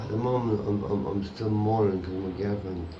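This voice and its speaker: Audible echo from the room is present. The intonation is fairly even. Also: man. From Ireland. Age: 40s. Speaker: homeless man. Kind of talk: interview. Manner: halting.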